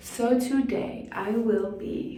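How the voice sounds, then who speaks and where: Audible room echo and noticeable background noise surround a woman whose voice is fairly high. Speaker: vlogger. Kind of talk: casual vlog talk to camera. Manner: whispering.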